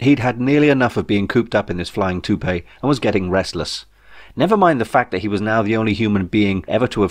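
This is an unforced reading voice carried by lively intonation.

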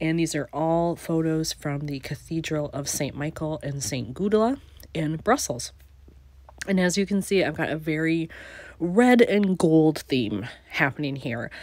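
Against a quiet background, a woman with a very deep, low voice speaks fairly slowly with lively intonation in a dry sound with no echo. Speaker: scrapbooking channel creator. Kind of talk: crafting tutorial narration. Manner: casual, relaxed. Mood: calm, relaxed.

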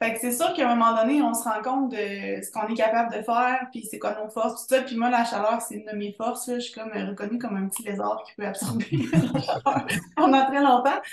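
Talking at a fairly quick pace with hardly any pauses, a woman with a fairly high voice shows big swings in loudness and ordinary pitch variation, over light background noise and audible room echo. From Quebec. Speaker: podcast host. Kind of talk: casual chat. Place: home room. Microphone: video call.

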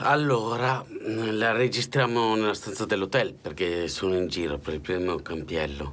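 At a moderate pace, a man with a fairly low pitch speaks with lively intonation. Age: 40s. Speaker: political commentator. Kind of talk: spoken editorial; political commentary monologue. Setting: hotel room. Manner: impassioned. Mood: indignant, weary. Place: home room. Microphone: phone near.

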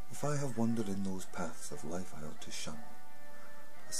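Over clear music in the background, a man talks at a moderate pace with ordinary pitch variation. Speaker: poetry reciter. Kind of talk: poetry reading. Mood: solemn, earnest. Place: home room. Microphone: webcam.

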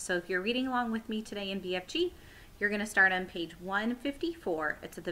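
The clip has an unforced reading voice with ordinary pitch variation.

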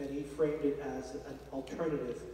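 Amid audible room echo, a man speaks at a medium pitch with a dark, mellow tone and little pitch movement. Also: moderate pace.

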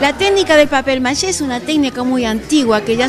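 A high-pitched woman with ordinary pitch variation, music playing in the background. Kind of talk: interview answer. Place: hall. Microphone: handheld.

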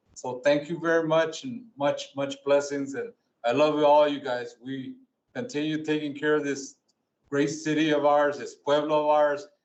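With an American accent and a normal speaking voice, a man talks at a moderate pace and a fairly high pitch with ordinary pitch variation. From Tucson, Arizona. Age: 60s. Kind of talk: speech of thanks. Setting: city council meeting.

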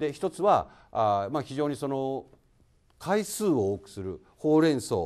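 The speech comes at a fairly slow pace with big swings in loudness against a quiet background. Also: man. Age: 50s. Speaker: construction company president. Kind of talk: lecture. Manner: formal. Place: hall. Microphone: handheld.

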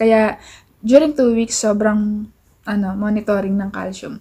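Her voice is fairly high in pitch with a dark, mellow tone. The woman speaks at a fairly slow pace over a quiet background. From Philippines. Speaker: vlogger. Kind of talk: casual vlog talk to camera. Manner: relaxed. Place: home room. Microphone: phone near.

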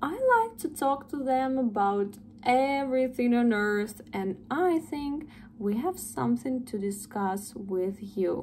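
Speaking at a very slow pace with lively intonation, a woman is heard over light background noise. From Russia. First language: Russian. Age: 20s. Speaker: English tutor. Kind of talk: sales pitch. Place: home room. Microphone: phone near.

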